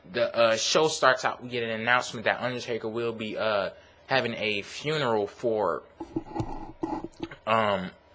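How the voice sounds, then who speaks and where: A man talks at a moderate pace with a medium pitch and ordinary pitch variation. Noticeable background noise runs underneath. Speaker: YouTube wrestling reviewer. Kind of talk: casual video review. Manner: casual with filler words.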